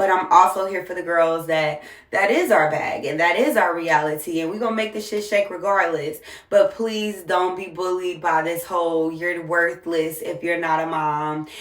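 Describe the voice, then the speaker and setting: Over noticeable background noise and audible room echo, a woman with an American accent speaks at a moderate pace, her pitch fairly low and her intonation fairly even. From US South, Jacksonville, Florida. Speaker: single mom content creator. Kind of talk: casual monologue vlog.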